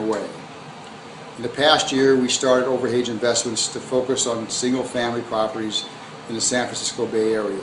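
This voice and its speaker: Monotone, flat male delivery with an American accent at a fairly quick pace, over noticeable background noise. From US Midwest (Hammond, Indiana); Indiana. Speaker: real estate investor. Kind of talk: scripted promotional self-introduction. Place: home room. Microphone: phone near.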